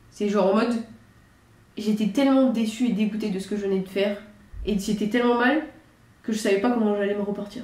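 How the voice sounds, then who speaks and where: A woman's fairly high, fairly even voice at a very fast pace broken by long, frequent pauses, with audible room echo and noticeable background noise. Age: 20s. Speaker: judo athlete and channel host. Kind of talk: casual chat.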